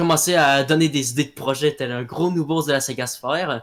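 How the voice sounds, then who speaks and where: The recording is very clean over a silent background as a man with a Quebec accent speaks at a fairly slow pace with ordinary pitch variation. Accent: Québécois. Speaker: audio drama creator. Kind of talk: interview. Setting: live voice chat. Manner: halting, many fillers.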